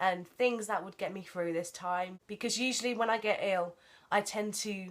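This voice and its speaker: Here a woman speaks at a fairly quick pace. Her intonation stays fairly even. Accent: English. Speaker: vlogger. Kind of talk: casual vlog haul.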